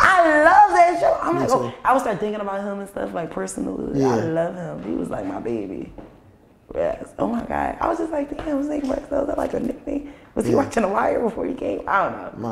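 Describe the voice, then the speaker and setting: The pace is fairly quick. Audible room echo and light background noise come through. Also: woman. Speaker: podcast guest, book author; podcast guest. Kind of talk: casual talk show chat. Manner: fast talker. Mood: lively, laughing. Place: studio.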